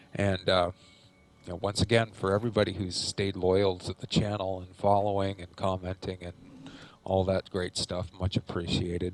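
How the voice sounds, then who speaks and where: A quiet man speaks in a very deep, low pitch with monotone, flat intonation. His loudness swings widely. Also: moderate pace, dry, close sound with no echo. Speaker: gaming youtuber. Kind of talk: gameplay commentary.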